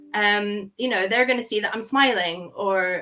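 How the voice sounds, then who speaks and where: Noticeable background noise sits behind a woman whose voice has a medium pitch. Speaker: brand photographer. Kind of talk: podcast interview. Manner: fast.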